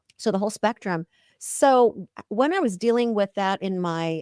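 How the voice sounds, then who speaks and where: This woman has an ordinary speaking voice, medium in pitch with ordinary pitch variation, at a moderate pace. The recording is very clean and silent behind her, with a dry, close sound and no echo. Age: 60s. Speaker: OB-GYN physician. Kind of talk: podcast interview.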